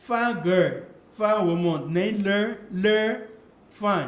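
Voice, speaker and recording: A man speaks very slowly in a high voice. The room echo is audible. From Liberia. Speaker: international student. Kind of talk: casual interview. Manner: hesitant, repeats words.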